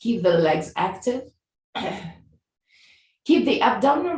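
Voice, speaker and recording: Somewhat breathy and medium-pitched, this woman's voice swings very widely in pitch at a fairly slow pace. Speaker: yoga teacher. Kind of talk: live yoga class instruction.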